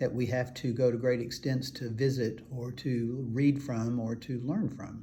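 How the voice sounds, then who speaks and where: A man with a dark, mellow tone and medium pitch speaks fairly slowly, a little breathy. His intonation stays fairly even, and audible room echo surrounds the voice. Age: 70s. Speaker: functional medicine doctor. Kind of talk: health advice talk to camera. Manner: halting, many filler words.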